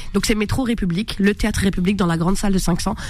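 The speaker is a woman. Audible room echo is present. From France, Maghrebi family. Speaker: comedian. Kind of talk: radio interview. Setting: radio studio. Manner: animated.

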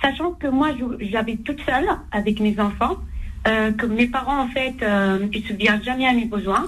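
A woman's unremarkable speaking voice, fairly high in pitch, at a moderate pace with ordinary pitch variation. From Algerian heritage. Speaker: caller. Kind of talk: call-in question.

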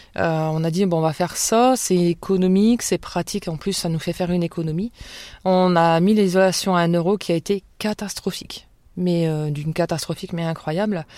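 A woman's dark, mellow voice at a fairly low pitch, with fairly even intonation at a moderate pace, on a very clean recording with a silent background. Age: 30s. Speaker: night care worker. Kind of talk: testimony. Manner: hesitant.

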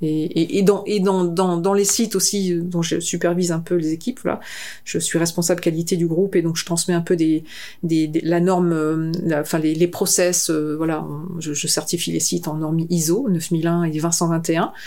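In a fairly low pitch with a dark, mellow tone, a woman talks at a moderate pace with monotone, flat intonation. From northern France. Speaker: concert venue director. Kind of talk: interview. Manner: halting.

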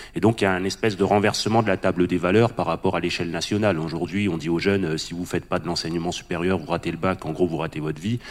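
Delivered at a very fast pace, the speech keeps fairly even intonation. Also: man, very deep, low pitch for a man, hardly any pauses. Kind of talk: panel discussion.

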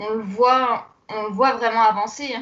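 A woman speaks in a flat monotone. Her pitch sits fairly high. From Alsace, France. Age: young. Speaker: embroidery entrepreneur. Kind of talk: interview.

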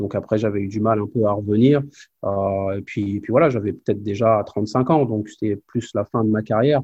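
Somewhat breathy and fairly low in pitch, a man talks at a moderate pace with fairly even intonation. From Normandy, France (Évreux). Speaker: former pro basketball player, player development coach. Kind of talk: interview testimony. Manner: halting, many repetitions.

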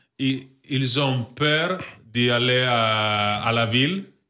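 In a very clean recording with a silent background, a man with an Italian accent speaks in a bright, sharp tone at medium pitch with ordinary pitch variation. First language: Italian (speaking French). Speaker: basketball sporting director. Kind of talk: interview. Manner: halting.

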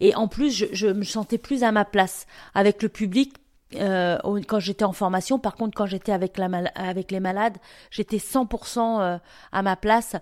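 A woman speaks at a medium pitch and fairly slow pace with fairly even intonation and long, frequent pauses, in a very clean recording with a silent background and a dry, close sound with no echo. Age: 50s. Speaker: cancer support volunteer and association founder. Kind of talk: interview. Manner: halting, with repetitions and hesitations.

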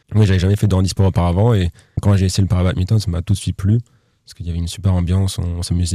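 Very fast, monotone, flat speech from a man with a very deep, low pitch, somewhat breathy with a dark, mellow tone, dry and close with no echo. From western France, Nantes area. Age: 20s. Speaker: para-badminton player. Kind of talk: interview. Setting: studio.

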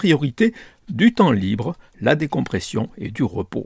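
Over a very clean recording with a silent background, a man speaks at a fairly slow pace in a fairly high pitch with vocal fry and very wide pitch swings, the sound dry and close with no echo. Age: 60s. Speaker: newspaper columnist. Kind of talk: scripted commentary.

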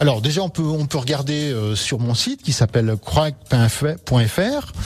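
At a fairly slow pace, a man speaks with a medium pitch and a somewhat breathy sound. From French Alps, Haute-Savoie. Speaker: mountain guide and artisan. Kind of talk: radio interview. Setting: radio studio. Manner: hesitant, many fillers.

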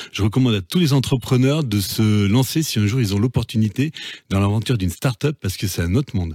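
His dark, mellow tone sits at a medium pitch as this man talks at a fairly quick pace, with lively intonation and very even loudness. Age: 50s. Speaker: entrepreneur. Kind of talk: interview. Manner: halting, repeats words.

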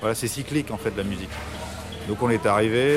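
Noticeable background noise surrounds a man's voice. His pitch is fairly low and his intonation fairly even. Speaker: rock band musician. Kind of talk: radio interview. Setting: café in Paris.

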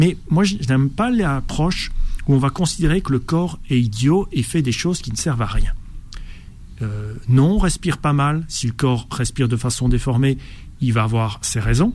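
A man talks at a fairly slow pace with lively intonation. His voice is fairly high and somewhat breathy. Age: 50s. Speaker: biologist and breathing coach. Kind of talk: radio interview. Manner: halting, with repetitions.

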